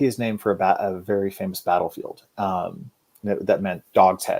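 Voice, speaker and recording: A man with an Oklahoma accent talks at a moderate pace. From Oklahoma, Guthrie. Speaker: fantasy author. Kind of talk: interview. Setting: live show.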